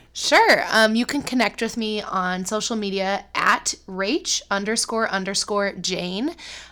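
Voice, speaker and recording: A woman with an American accent speaks at a fairly slow pace and a fairly high pitch, with ordinary pitch variation. Her tone is bright and sharp, and she takes hardly any pauses. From US Midwest, Cleveland, Ohio. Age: 20s. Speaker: middle school teacher. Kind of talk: casual chat.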